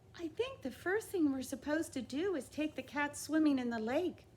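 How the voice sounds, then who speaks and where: A put-on character voice, high-pitched, at a moderate pace, with clear background noise. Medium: read story. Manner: earnest, eager.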